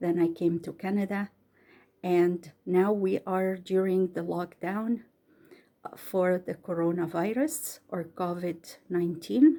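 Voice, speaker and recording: In an Egyptian accent, the voice speaks at a very slow pace with a dark, mellow tone. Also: woman, medium pitch for a woman, ordinary pitch variation, big swings in loudness. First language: Arabic. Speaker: bedtime story reader. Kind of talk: casual introduction; reading aloud. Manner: careful, slightly halting reading.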